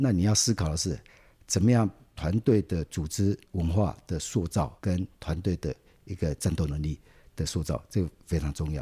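In a very clean recording with a silent background, a man speaks at a very deep, low pitch, his tone dark, mellow and relaxed, the sound dry and close with no echo. He is somewhat breathy, with lively intonation and a moderate pace. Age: 60s. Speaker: city government official, civil engineer. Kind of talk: interview. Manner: relaxed, many filler particles.

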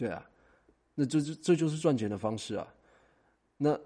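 This man's tone is dark and mellow. Behind him, the background is quiet. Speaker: talent agent and podcast host. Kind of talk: solo monologue. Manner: casual, with many fillers.

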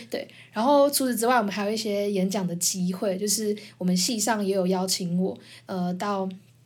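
A woman speaks at a moderate pace with a medium pitch and ordinary pitch variation, and the room echo is audible. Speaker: podcast host, university student. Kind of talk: casual chat.

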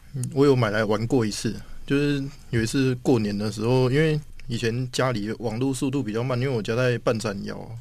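An unremarkable speaking voice from a man, medium in pitch, at a fairly quick pace with fairly even intonation. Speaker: software engineer. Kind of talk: casual interview chat.

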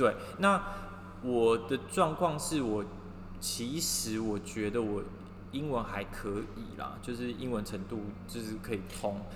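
Speaking very slowly with long, frequent pauses, a man keeps a medium pitch and ordinary pitch variation amid noticeable background noise and audible room echo. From Taiwan. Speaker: podcast co-host, fashion industry worker. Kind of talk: casual chat. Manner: light, cheerful.

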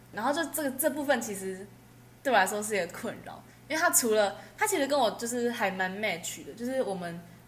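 Talking at a fairly quick pace, a woman uses a fairly high pitch with very wide pitch swings, and audible room echo surrounds her. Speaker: university student. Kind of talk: casual chat.

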